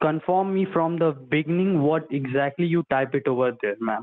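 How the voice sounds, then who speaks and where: A man's ordinary speaking voice, fairly high in pitch with ordinary variation, at a moderate pace. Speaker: phone scammer posing as tech support. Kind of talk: scripted customer-service talk. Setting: phone call.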